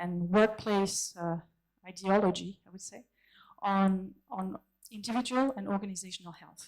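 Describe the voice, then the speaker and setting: Speaking very slowly with a French accent, a woman uses a medium pitch and fairly even intonation. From France. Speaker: conference keynote speaker, consultant. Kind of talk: conference keynote talk. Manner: halting, many fillers and restarts.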